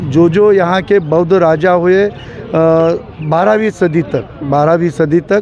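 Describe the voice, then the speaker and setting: Noticeable background noise accompanies a man speaking in a high pitch. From Maharashtra, India. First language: Marathi (speaking Hindi). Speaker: Buddhist protester. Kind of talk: street interview. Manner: halting.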